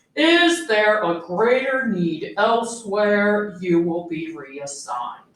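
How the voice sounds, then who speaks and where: A woman puts on a character voice at a medium pitch, swinging it very widely. She talks at a very slow pace with slight echo. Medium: read story. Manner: clipped, pompous, halting.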